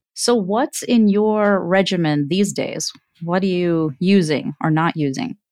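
With a normal speaking voice, a woman talks at a fairly slow pace and medium pitch, her intonation lively, the sound dry and close with no echo. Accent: American. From US. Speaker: physician podcast host. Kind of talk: interview.

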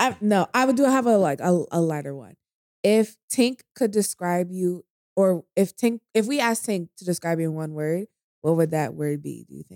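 A woman's fairly low voice shows lively intonation and big swings in loudness, recorded dry and close with no echo. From New York. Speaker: podcast co-host and guest. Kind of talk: casual chat. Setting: drinking together in a dim room. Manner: fast talker.

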